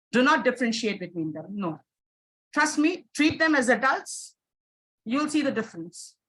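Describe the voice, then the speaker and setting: Her voice high and swinging very widely in pitch, a woman moves at a moderate pace with long, frequent pauses. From India. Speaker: teacher trainer. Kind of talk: webinar Q&A. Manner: emphatic, repetitive; hesitant fillers.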